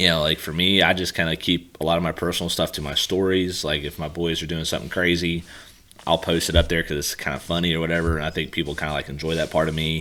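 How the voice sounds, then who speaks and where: With an American accent, a man speaks at a very fast pace in a very deep, low pitch. His intonation is monotone and flat, with noticeable background noise behind him. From Pennsylvania. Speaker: golf coach and podcast host. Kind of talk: podcast interview.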